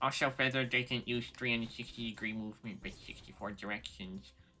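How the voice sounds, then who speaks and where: A man puts on a character voice. He talks fairly quickly at a medium pitch. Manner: mocking, pedantic.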